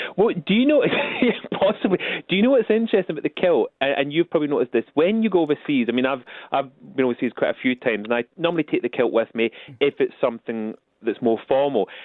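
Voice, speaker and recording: Speaking at a very fast pace with a Scottish accent, a man uses a fairly high pitch and very wide pitch swings. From Scotland. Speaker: royal butler and etiquette expert. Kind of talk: radio interview. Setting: phone call.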